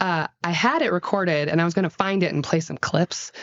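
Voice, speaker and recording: A woman with an American accent speaks in an animated tone. Her pitch is fairly low, and her pace is moderate. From Gainesville, Florida (US South). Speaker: play therapist. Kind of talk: casual chat. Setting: play therapy office.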